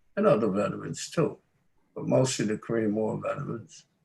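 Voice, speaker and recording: This man talks at a moderate pace with a dark, mellow tone. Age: 80s. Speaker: war veteran. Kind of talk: ceremony remarks.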